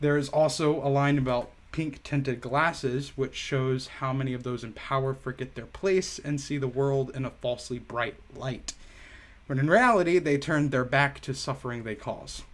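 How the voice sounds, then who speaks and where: At a moderate pace, a man speaks at a fairly high pitch with fairly even intonation. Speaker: music reviewer on a live stream. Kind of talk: album review monologue on live stream. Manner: stumbling over names.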